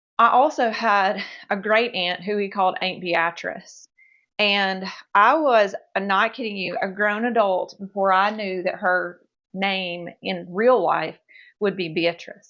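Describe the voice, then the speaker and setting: A woman's medium-pitched voice in a Mississippi accent, bright and sharp in tone, with ordinary pitch variation, a fairly slow pace, and a quiet background. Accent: Mississippi Southern dialect. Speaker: home cooking video creator. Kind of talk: cooking tutorial. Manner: animated.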